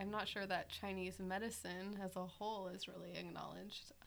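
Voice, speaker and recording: Using an unremarkable speaking voice, a woman talks at a moderate pace and a medium pitch. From US East Coast. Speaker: Chinese medicine student. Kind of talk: casual panel discussion.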